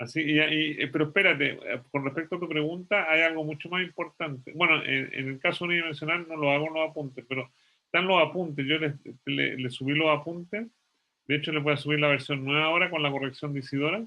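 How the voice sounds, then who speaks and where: A man's fairly high voice at a very fast pace, with fairly even intonation. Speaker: physics professor. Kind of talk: lecture.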